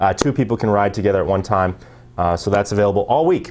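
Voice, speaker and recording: A man speaks at a very fast pace in a fairly low pitch, with music playing in the background. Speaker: ski resort marketing representative. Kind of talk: promotional TV interview. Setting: TV studio.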